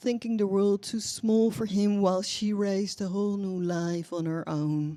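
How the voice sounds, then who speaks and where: A woman speaks in a Dutch accent at a medium pitch. Her pace is moderate and her intonation fairly even. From Netherlands. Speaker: poet and novelist. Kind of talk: poetry reading. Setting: coffee shop reading with audience. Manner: halting.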